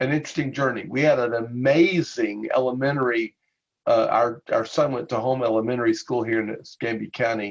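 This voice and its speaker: A man speaks at a medium pitch. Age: 60s. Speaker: pastor and parent advocate. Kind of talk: interview. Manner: halting.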